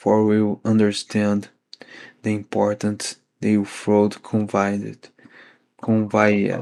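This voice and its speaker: Very slow speech unfolds with monotone, flat intonation. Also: man. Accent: non-native. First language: not English. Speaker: podcast host reading a book aloud. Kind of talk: reading aloud. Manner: halting.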